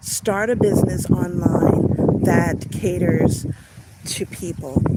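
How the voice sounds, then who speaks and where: Over noticeable background noise, a woman with a slight Long Island accent speaks at a medium pitch with lively intonation. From Long Island, New York (Suffolk County). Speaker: online business coach. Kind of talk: live stream talk. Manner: casual, with fillers.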